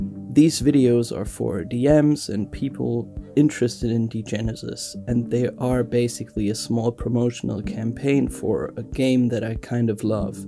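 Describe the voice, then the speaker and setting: A man with a medium pitch and ordinary pitch variation, speaking at a fairly slow pace with hardly any pauses, music in the background. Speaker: tabletop RPG lore narrator. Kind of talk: lore narration video. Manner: low-energy, subdued.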